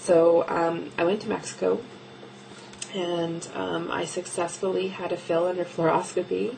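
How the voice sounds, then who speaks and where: A soft-spoken woman at a fairly slow pace, with noticeable background noise. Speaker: video blogger documenting weight loss surgery. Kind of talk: casual video diary. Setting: home office at night. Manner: quiet, talking softly late at night; hesitant, many ums.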